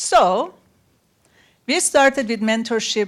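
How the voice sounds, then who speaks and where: On a very clean recording with a silent background, a woman with a non-native accent speaks at a moderate pace with lively intonation. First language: not English. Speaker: panel speaker, women-in-STEM mentorship organizer. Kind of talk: panel talk.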